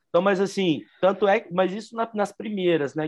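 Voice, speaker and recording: In a quiet setting, a man talks, his pitch varying in an ordinary way. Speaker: podcast co-host, aggressive skater. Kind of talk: casual chat.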